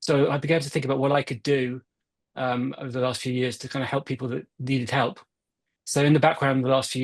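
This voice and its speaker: In a British accent, a man of medium pitch talks at a very fast pace with monotone, flat intonation. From UK. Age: 40s. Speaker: Parkinson's advocate. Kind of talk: interview.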